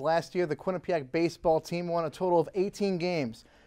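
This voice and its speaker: Against a quiet background, a man talks at a fairly quick pace with a high pitch. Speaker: news reporter and anchor. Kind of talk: TV news anchor and reporter delivery.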